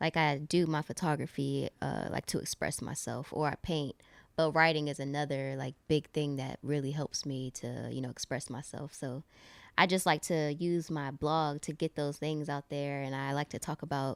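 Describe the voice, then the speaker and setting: At a moderate pace, a woman with an American accent talks in a very deep, low, monotone voice with flat intonation, the sound dry and close with no echo on a very clean recording with a silent background. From Virginia. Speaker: photographer and visual artist. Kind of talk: casual chat.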